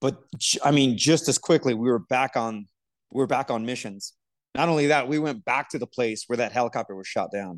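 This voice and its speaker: A man speaks at a fairly quick pace and a medium pitch, with ordinary pitch variation. He has an unremarkable speaking voice, and the background is quiet. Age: 40s. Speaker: podcast co-host, military veteran. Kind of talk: casual chat.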